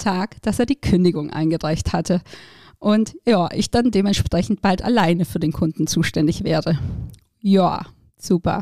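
In a very clean recording with a silent background and a dry, close sound with no echo, a woman with a dark, mellow tone speaks at a moderate pace with lively intonation. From southern Germany, between Stuttgart and Ulm. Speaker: podcast host, startup founder. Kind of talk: personal storytelling monologue. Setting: studio.

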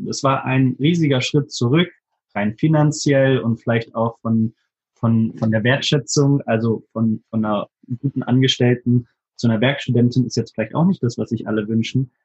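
A man's somewhat breathy, medium-pitched voice holds a fairly even intonation. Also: moderate pace. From Hannover, Germany. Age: 20s. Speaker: videographer and photographer. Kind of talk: interview.

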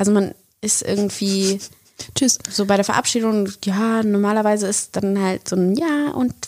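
This woman's voice sits at a fairly high pitch, with fairly even intonation. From Germany, Bonn. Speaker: podcast co-host, actress. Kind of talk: casual chat.

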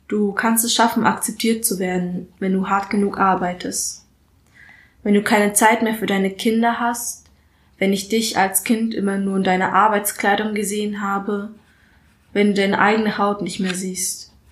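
The woman speaks at a medium pitch with a flat, monotone intonation. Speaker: spoken word artist and student. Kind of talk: spoken word poem, performed aloud. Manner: deliberate, rhythmic, emphatic delivery.

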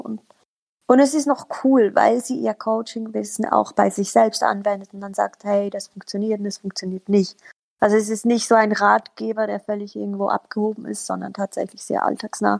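Dry and close, the sound has no echo as a woman speaks at a moderate pace. Her loudness swings a lot. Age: 30s. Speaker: local politician and social media manager. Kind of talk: casual chat.

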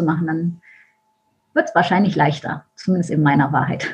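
The voice sounds somewhat breathy. Its intonation stays fairly even. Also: woman. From Germany, Düsseldorf. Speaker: mindset and business coach. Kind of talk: podcast interview.

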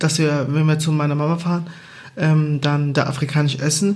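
A man at a fairly quick pace, monotone and flat in intonation, amid audible room echo. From Angola. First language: Portuguese (speaking German). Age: 30s. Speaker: podcast co-host. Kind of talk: casual chat.

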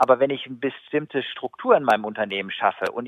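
A man's lively intonation at a very fast pace. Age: 40s. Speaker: sales consultant and keynote speaker. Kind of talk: interview. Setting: phone call.

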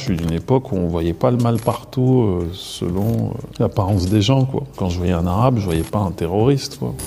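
Over noticeable background noise, a man speaks in a fairly low pitch with lively intonation. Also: moderate pace. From Paris region, France. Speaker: actor and filmmaker. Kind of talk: interview testimony. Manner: casual, hesitant with repetitions.

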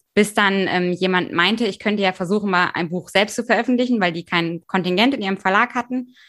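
Pitch rises and falls in an ordinary manner. The recording is very clean and the background silent. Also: woman. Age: 20s. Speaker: novelist. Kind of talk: casual chat.

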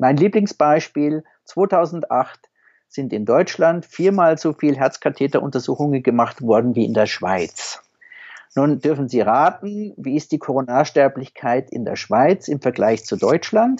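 A man speaks in an ordinary speaking voice, pitched fairly high. His intonation is lively and his pace fairly slow. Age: 50s. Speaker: anesthesiologist, senior hospital doctor. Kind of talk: interview.

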